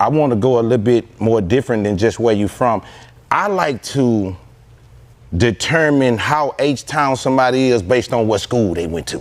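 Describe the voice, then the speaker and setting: In a Houston accent, a man talks at a moderate pace and medium pitch with lively intonation. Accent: Houston Southern US. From Houston, Texas. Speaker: podcast host. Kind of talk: interview.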